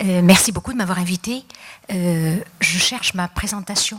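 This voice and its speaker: A woman's voice at a medium pitch and moderate pace, with fairly even intonation and noticeable background noise. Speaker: psychologist and speaker. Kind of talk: conference talk. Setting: stage with audience. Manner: hesitant, many fillers.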